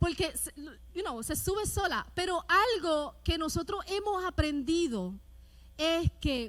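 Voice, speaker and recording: A woman talks loudly at a very slow pace. Her voice is high and swings very widely in pitch. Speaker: pastor. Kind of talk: sermon. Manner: rises in volume, loud.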